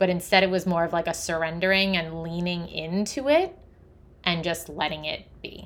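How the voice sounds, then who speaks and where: A woman with a normal speaking voice talks at a moderate pace, fairly low in pitch, with fairly even intonation. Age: 30s. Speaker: holistic health coach and podcast host. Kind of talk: solo podcast monologue.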